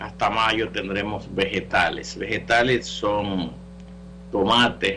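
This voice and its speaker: A man's fairly low voice at a very slow pace, with very wide pitch swings. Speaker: natural medicine doctor, radio call-in host. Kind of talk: call-in health show with announcements. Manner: casual, conversational.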